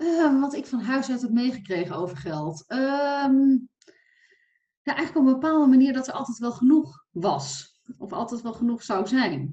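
Her pace is moderate and her intonation lively. The woman speaks at a high pitch. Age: 40s. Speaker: financial coach for entrepreneurs. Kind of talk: casual interview.

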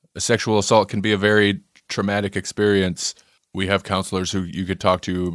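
A man puts on a robotic character voice with a fairly low pitch and monotone, flat intonation. He goes at a fairly quick pace, and the sound is dry and close with no echo. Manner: cold, robotic, machine-like.

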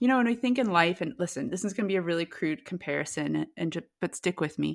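A woman with vocal fry talks at a fairly quick pace in a very clean recording with a silent background. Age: 40s. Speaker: nutrition coach. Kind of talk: interview.

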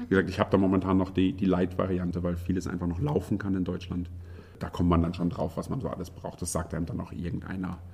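Somewhat breathy and dark, mellow in tone, the voice races at a very fast pace in a monotone, flat intonation. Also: man, very deep, low pitch for a man. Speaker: IT professional, emigrant to Sweden. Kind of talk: interview. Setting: room in Stockholm.

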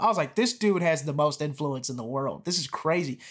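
A man with an American accent speaks with lively intonation in a very clean recording with a silent background. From US South. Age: 20s. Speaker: comedian. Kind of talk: casual chat.

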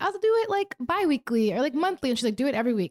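With lively intonation, a woman speaks in a dry, close sound with no echo. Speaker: podcast producer. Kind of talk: casual chat. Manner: loud.

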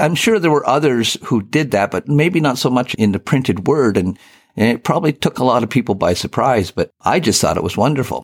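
A man with an ordinary speaking voice and a Canadian accent talks at a medium pitch with lively intonation and very even loudness. The sound is dry and close with no echo, in a very clean recording with a silent background. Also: fairly quick pace. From Eastern Ontario, Canada. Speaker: retired newspaper editor and fly fisher. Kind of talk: interview.

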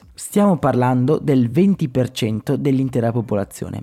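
With a dark, mellow tone, a man speaks at a moderate pace. The recording is very clean, with a silent background. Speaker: podcast host. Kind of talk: scripted narration.

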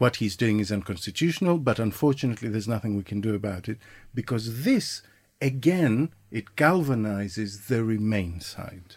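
Recorded very cleanly against a silent background, a man with an unremarkable speaking voice and medium pitch talks at a moderate pace with lively intonation. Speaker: podcast co-host. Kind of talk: casual political discussion. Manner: informal, sweary.

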